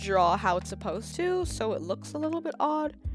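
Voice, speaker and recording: A woman's voice holds a moderate pace. Behind her, music can be heard. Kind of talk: craft tutorial voiceover. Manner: casual, chatty.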